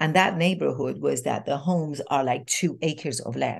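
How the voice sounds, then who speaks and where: A woman with a non-native accent. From Iran. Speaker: transformational coach and speaker. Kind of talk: interview storytelling. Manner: animated.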